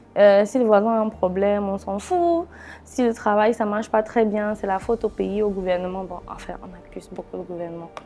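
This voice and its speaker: Music plays in the background. The speech moves at a moderate pace with big swings in loudness. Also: woman, medium pitch for a woman, ordinary pitch variation. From Cameroon. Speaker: talk show host. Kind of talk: interview.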